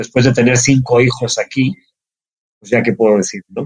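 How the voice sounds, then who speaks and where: A somewhat breathy man at a fairly quick pace. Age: 50s. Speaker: entrepreneur, actuary. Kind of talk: interview.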